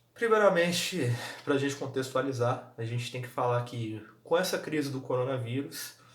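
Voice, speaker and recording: A quiet man with a Brazilian accent speaks at a medium pitch and moderate pace with ordinary pitch variation, and audible room echo surrounds his voice. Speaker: football vlogger. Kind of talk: casual vlog commentary. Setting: at home. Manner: speaking quietly.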